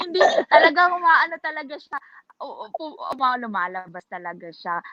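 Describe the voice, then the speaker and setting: A woman with a high pitch uses a raised, projected voice at a moderate pace, with very wide pitch swings and big swings in loudness, in a dry, close sound with no echo. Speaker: vlogger. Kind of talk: casual chat. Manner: stutters sometimes.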